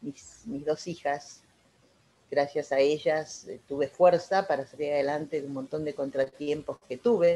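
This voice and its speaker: A woman with a very deep, low pitch talks at a moderate speed. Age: 70s. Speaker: network marketing distributor. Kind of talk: testimony.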